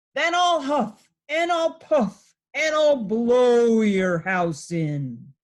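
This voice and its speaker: A woman puts on a growling character voice at a fairly high pitch. She goes at a very slow pace with hardly any pauses and very wide pitch swings. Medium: read story. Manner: growling, menacing.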